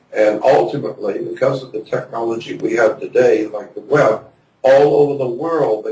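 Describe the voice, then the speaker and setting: A man speaks at a moderate pace. Behind him, music is playing. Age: 70s. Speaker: conspiracy researcher and lecturer. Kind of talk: interview.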